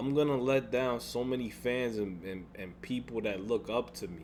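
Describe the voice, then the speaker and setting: At a moderate pace, a man talks with a medium pitch. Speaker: gaming YouTuber. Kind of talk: vlog rant. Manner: halting, repetitive.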